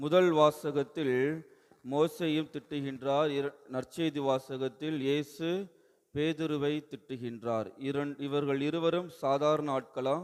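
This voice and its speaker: A man speaks in an unremarkable speaking voice. His intonation stays fairly even. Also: fairly high pitch for a man. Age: young. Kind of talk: sermon.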